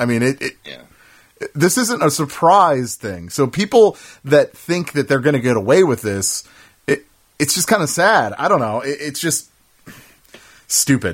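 Pausing long and often, a man speaks at a moderate pace in a fairly high pitch, with vocal fry and very wide pitch swings. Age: 30s. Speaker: video game podcast host. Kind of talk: casual chat. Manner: halting, many fillers.

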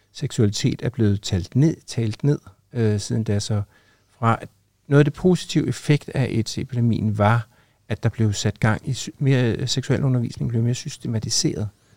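The recording is very clean with a silent background and a dry, close sound with no echo. A man at medium pitch, with a dark, mellow tone and ordinary pitch variation, speaks at a moderate pace. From Copenhagen, Denmark. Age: 60s. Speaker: teacher and former HIV activist. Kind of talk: interview testimony.

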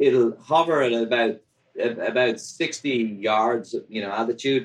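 Here a man talks with an Irish accent. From Ireland. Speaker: drone delivery company founder. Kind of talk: interview.

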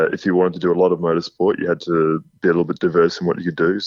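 Monotone and flat in intonation, the speech moves at a very fast pace. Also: man, very deep, low pitch for a man. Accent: Australian. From Australia. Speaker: podcast guest, drift racing driver. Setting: phone.

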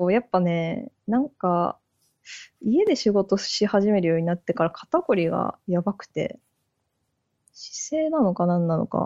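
A woman's medium-pitched voice, with lively intonation at a fairly slow pace. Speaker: software engineer. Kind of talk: casual chat.

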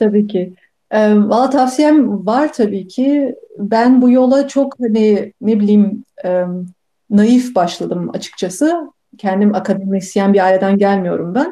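A dark, mellow tone at a very slow pace, with very even loudness. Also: woman, fairly high pitch for a woman, ordinary pitch variation. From Turkey, Bursa. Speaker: neuroscientist. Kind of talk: interview.

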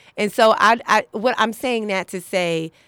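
A woman with a New York accent talks at a fairly slow pace, her pitch varying in an ordinary way. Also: dry, close sound with no echo. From New York City, Harlem. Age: 30s. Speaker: comedian. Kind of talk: casual chat. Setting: studio.

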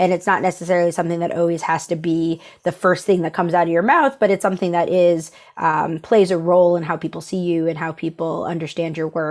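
Speaking very fast with a New York accent, a woman comes through in a very clean recording with a silent background. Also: fairly low pitch for a woman. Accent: American (New York). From upstate New York. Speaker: creative agency managing director. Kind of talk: casual interview.

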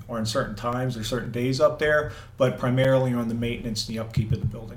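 Audible room echo surrounds the voice. A man speaks at a medium pitch in a flat monotone. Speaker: volunteer and Marine veteran. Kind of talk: interview.

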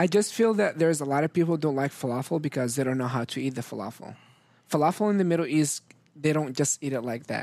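The speech comes at a very fast pace. Pitch varies in an ordinary way. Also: man, fairly high pitch for a man. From Syria. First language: Arabic. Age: young. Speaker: restaurant owner. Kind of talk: casual interview.

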